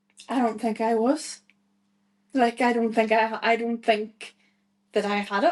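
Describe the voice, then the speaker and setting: A woman talks at a fairly slow pace with long, frequent pauses. Her voice is fairly high, with fairly even intonation. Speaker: guest sharing mental health story. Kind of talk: podcast interview, personal testimony. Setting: podcast. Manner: loud.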